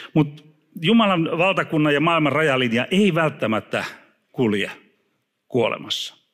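A man with vocal fry and very wide pitch swings against a quiet background. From Finland. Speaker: preacher. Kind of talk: sermon. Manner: halting. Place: church. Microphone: handheld.

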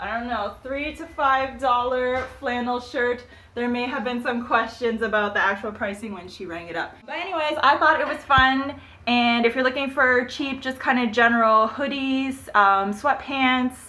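A woman speaks in a bright, sharp tone at a fairly high pitch. Her pace is moderate with few pauses and ordinary pitch variation.

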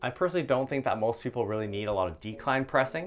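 Vocal fry marks a man's voice over light background noise. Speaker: fitness coach. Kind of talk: tutorial. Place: home room. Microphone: lapel.

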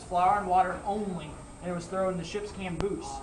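Over noticeable background noise, a man talks very fast in a high voice. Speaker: costumed ship tour guide. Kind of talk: tour guide talk. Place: boat. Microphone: camera far.

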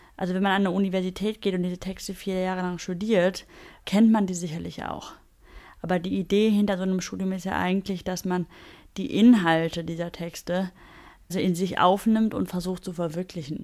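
A woman speaks fairly quickly at a medium pitch, monotone and flat. The recording is very clean, with a silent background. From Germany. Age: 20s. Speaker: buddhist nun. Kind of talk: interview.

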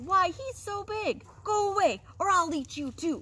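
A put-on character voice at an extremely high pitch and a fairly slow pace, with light background noise. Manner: thundering; greedy, hungry.

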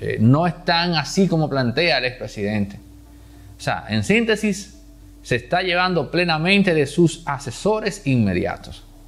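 Very wide pitch swings mark this man's fairly slow speech. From Dominican Republic. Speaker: political commentator. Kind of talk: political commentary monologue. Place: studio. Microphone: lapel.

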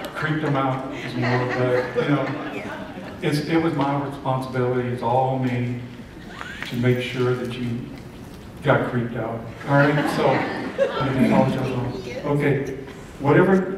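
Amid loud background noise and audible room echo, a man speaks at a fairly slow pace with long, frequent pauses. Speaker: motivational speaker and mentalist. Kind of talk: keynote stage comedy routine to an audience. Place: hall.

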